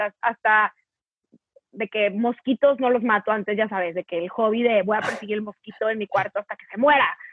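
Here is a woman with an unremarkable speaking voice. Her pitch is fairly high, with ordinary pitch variation. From northern Mexico, Torreón. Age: 20s. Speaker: content creator. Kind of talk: casual chat.

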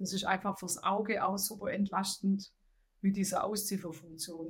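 A woman with a Swabian accent, somewhat breathy, at a fairly quick pace. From Swabia, southern Germany. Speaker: head of financial accounting. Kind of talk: interview.

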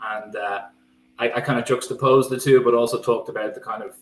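Fairly quick speech in a Dublin accent. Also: man. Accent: Dublin Irish. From Ireland, County Dublin. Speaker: football writer. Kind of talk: podcast discussion.

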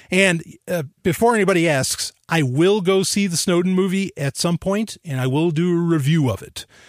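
In a very clean recording with a silent background and a dry, close sound with no echo, a man speaks at a moderate pace with a high pitch, ordinary pitch variation and hardly any pauses. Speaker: podcast host. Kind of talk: casual chat. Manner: animated, intense; casual, rambling.

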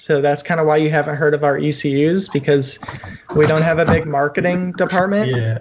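In a plain, everyday voice, a man talks at a moderate pace. His pitch is fairly high and his intonation fairly even. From Ohio (Cleveland). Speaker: engineer and amateur racer. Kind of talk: casual chat. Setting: video call.

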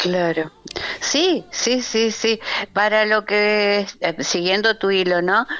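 A woman's medium-pitched voice at a very slow pace, with ordinary pitch variation, very even loudness and music in the background. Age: 70s. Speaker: architect and shop window designer. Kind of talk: radio interview.

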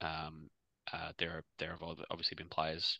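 A man with an Australian accent talks at a fairly slow pace, his tone bright and sharp. The sound is dry and close with no echo, over a quiet background. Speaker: podcast co-host.

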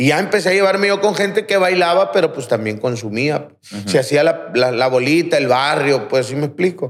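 An unremarkable speaking voice at a fairly quick pace, with lively intonation. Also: man. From Aguaruto, Culiacán, Sinaloa, Mexico. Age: 30s. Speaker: rehab center director, recovering addict. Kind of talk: testimony.

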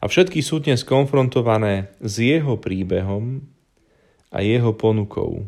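A man at a medium pitch, fairly slow in pace, with ordinary pitch variation, on a very clean recording with a silent background. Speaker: preacher. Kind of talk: sermon. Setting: at home with family during holidays.

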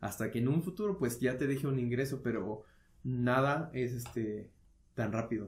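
A man talks at a moderate pace in a medium pitch, somewhat breathy, with ordinary pitch variation and very even loudness. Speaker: podcast co-host. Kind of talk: casual chat.

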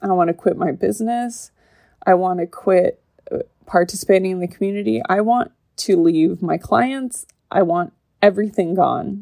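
A woman's medium-pitched voice with a dark, mellow tone. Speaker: podcast host. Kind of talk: personal testimony monologue. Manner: slow; monotone.

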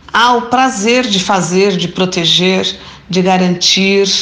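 Over noticeable background noise, a woman speaks fairly slowly at a medium pitch with ordinary pitch variation. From São Miguel Paulista, São Paulo. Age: 60s. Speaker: retired teacher and restaurateur.

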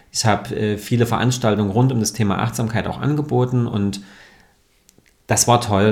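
Speaking at a fairly quick pace, a man uses a normal speaking voice at medium pitch with fairly even intonation. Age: 30s. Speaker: yoga and mindfulness teacher. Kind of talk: podcast interview.

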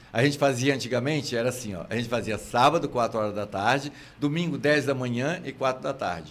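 Speaking with a Minas Gerais accent, a man talks at a fairly quick pace in a medium pitch with ordinary pitch variation. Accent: mineiro Brazilian Portuguese. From Minas Gerais countryside, Brazil. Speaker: theatre actor and comedian. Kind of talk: casual interview chat.

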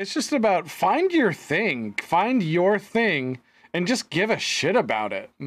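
A high-pitched man at a fairly slow pace, with very wide pitch swings. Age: 30s. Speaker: podcast co-host. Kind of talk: casual chat.

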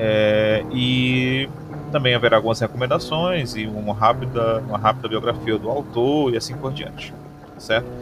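Noticeable background noise runs under this recording. A man speaks at a medium pitch with fairly even intonation. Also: moderate pace. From Maranguape, Ceará, Brazil. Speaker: podcast host, philosophy teacher. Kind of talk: solo podcast monologue. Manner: hesitant, with fillers and repetitions.

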